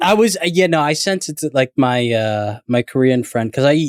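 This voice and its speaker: Lively intonation from a man at medium pitch, in a dry, close sound with no echo. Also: very clean recording, silent background. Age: 20s. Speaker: YouTube storyteller, podcast guest. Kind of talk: casual chat. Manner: halting, filler-heavy.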